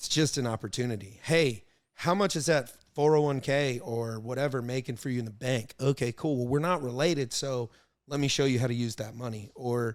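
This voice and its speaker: The man's medium-pitched voice moves at a fairly quick pace with ordinary pitch variation, captured in a very clean recording with a silent background. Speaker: entrepreneur. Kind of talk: casual chat. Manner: loud.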